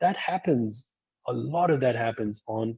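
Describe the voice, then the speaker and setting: A man's somewhat breathy voice at a fairly slow pace. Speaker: school dean. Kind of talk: webinar presentation.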